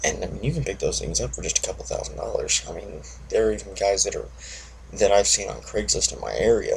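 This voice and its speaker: A man talks quietly at a very fast pace. Noticeable background noise runs behind him. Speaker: motorcycle vlogger. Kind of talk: casual monologue vlog. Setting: at home early morning. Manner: monotone.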